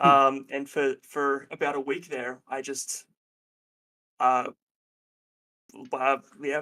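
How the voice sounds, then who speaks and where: Very slow and broken by long, frequent pauses, a man's fairly high voice comes across in a flat monotone with a bright, sharp tone. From Australia. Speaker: counselor and therapist. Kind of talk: casual chat. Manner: halting.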